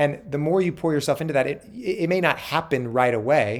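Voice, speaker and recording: This man's pitch is fairly high, and he keeps a moderate pace. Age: 30s. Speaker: Broadway performer. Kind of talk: casual chat.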